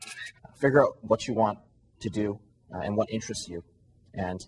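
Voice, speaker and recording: A very fast, somewhat breathy male voice with a Canadian accent, fairly low in pitch. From Canada, Toronto area. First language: Cantonese. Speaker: young finance entrepreneur. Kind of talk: interview testimony. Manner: hesitant, many fillers.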